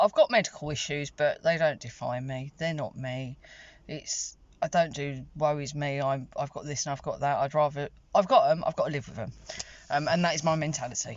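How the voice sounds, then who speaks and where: The pitch varies in an ordinary way. Loudness swings widely. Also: woman, very deep, low pitch for a woman, fairly quick pace. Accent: British. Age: 40s. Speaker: vlogger. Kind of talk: casual vlog monologue. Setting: in a car. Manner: chatty, rambling with fillers.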